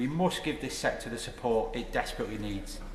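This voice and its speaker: A man's very fast talk with a Lancashire accent at a fairly high pitch, with noticeable background noise and audible room echo. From northern England, Blackpool. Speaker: member of parliament. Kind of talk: parliamentary speech. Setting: House of Commons chamber. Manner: formal.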